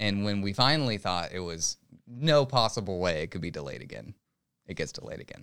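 A man with a fairly low voice talks at a fairly quick pace, his pitch swinging very widely and his loudness rising and falling sharply, on a very clean recording with a silent background. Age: 20s. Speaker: gaming podcast co-host. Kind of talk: casual chat.

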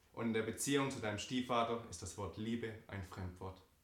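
A man's medium pitch with ordinary pitch variation at a moderate pace, amid audible room echo. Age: 20s. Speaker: church member giving testimony. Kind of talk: reading aloud a personal letter.

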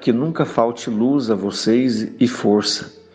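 A man talks very slowly at a fairly low pitch. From Goiás, Brazil. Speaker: spiritist center volunteer. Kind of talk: recorded testimonial.

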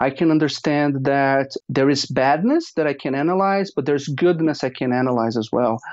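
A man with a Portuguese accent speaks at a moderate pace with hardly any pauses. His pitch varies in an ordinary way. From Brazil. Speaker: data scientist. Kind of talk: interview.

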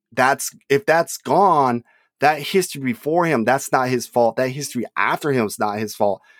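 In an unremarkable speaking voice, a man with an American accent talks at a moderate pace with ordinary pitch variation, in a dry, close sound with no echo and a very clean recording over a silent background. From California. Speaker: sports historian, podcast co-host. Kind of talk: casual chat.

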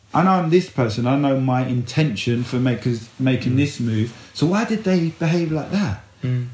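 A man at medium pitch with lively intonation, moderate pace and music in the background. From East London, England. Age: 40s. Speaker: men's life coach. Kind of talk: casual chat.

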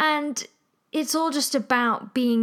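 A woman with an English accent and ordinary pitch variation. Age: 20s. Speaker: podcast host and musician. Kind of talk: casual solo monologue. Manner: chatty, animated.

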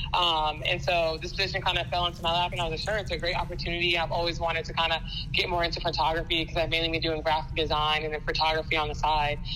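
A woman talks at a very fast pace with monotone, flat intonation, amid audible room echo and noticeable background noise. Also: fairly low pitch for a woman. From US South, Georgia. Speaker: sports team photographer. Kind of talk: interview.

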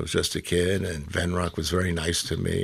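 Speaking at a fairly quick pace, this man has a very deep, low pitch and a somewhat breathy voice. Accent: American. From New York, the Bronx. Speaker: folk and blues singer. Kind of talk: interview. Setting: studio.

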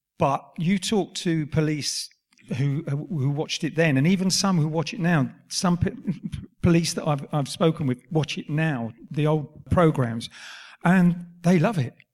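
A man speaks fairly slowly in an ordinary speaking voice. His pitch is fairly high, with ordinary pitch variation. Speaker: actor. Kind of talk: live Q&A on stage. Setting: stage with audience.

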